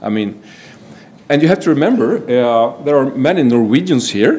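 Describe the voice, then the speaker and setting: The room echo is audible here. His pitch shifts in an ordinary way as the man talks. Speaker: forensic psychology professor. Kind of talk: conference presentation.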